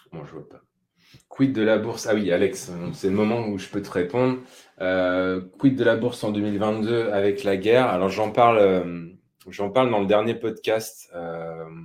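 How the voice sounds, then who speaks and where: The loudness swings widely from moment to moment. Pitch variation is ordinary, and the pace is fairly slow. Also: man, fairly low pitch for a man. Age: 30s. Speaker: personal finance podcaster. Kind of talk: live webinar on investing. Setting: live stream. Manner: hesitant, many fillers.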